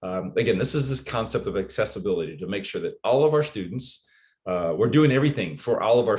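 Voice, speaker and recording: A man at medium pitch, somewhat breathy, with lively intonation and a fairly quick pace over a quiet background. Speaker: educator leading a teaching workshop. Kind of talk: online workshop presentation. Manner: fast.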